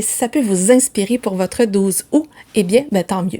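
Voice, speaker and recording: This woman has a dark, mellow tone and speaks in a Quebec accent. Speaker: book vlogger. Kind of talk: casual vlog talk. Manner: fast, chatty.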